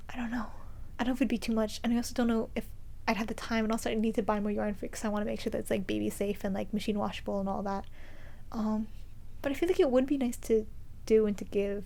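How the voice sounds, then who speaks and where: A woman's fairly high voice with a dark, mellow tone, very fast pace broken by long, frequent pauses, fairly even intonation, and audible room echo. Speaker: knitting podcaster. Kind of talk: casual vlog monologue.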